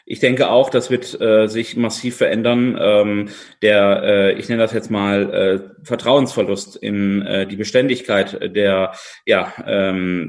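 A man talks in a fairly low pitch. His intonation is monotone and flat. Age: 20s. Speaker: politician. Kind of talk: interview. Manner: halting, many filler sounds.

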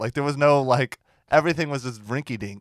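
A man speaks at a moderate pace. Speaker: comedian. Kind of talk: casual comedic chat.

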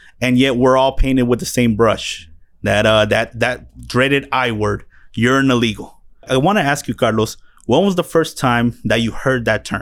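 A man talks at a moderate pace in an ordinary speaking voice, medium in pitch with ordinary pitch variation. His loudness stays very even. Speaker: podcast host. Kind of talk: casual chat. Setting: studio.

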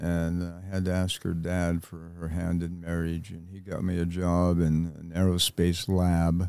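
A man's very deep, low voice, dark and mellow in tone, monotone and flat, at a fairly slow pace with hardly any pauses. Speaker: combat veteran and writer. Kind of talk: casual chat.

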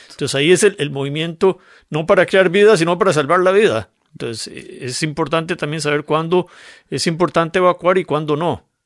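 Speaking at a fairly quick pace, a man with a Costa Rican accent uses a high pitch and ordinary pitch variation. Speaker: geologist. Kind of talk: radio interview conversation. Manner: explanatory, with frequent repetitions.

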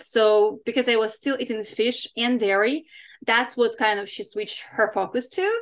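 With a non-native accent and a fairly high pitch, a woman speaks at a fairly quick pace with fairly even intonation and long, frequent pauses against a quiet background. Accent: foreign-accented English. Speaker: fitness coach and competitor. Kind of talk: podcast interview.

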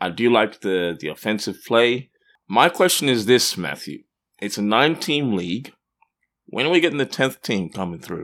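A man with a medium pitch speaks at a moderate pace, his pitch swinging very widely. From Australia (Perth). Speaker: sports podcast co-host. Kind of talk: casual chat.

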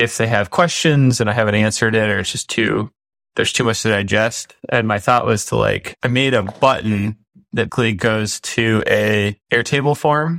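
With an American accent, a man speaks in a normal speaking voice at a moderate pace and medium pitch, with ordinary pitch variation and a dry, close sound with no echo. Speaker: business podcast host. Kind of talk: casual chat. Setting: video call.

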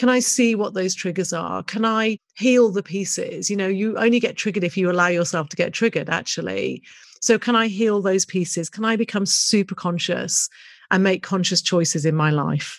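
With a British accent, a woman speaks at a moderate pace and ordinary pitch variation in a very clean recording with a silent background. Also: medium pitch for a woman. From UK. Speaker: business coach and podcast host. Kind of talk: solo podcast monologue.

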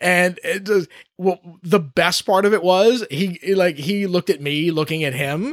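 The recording is very clean with a silent background, and the man in it shows ordinary pitch variation. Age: 30s. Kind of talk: casual interview chat. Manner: halting, many restarts.

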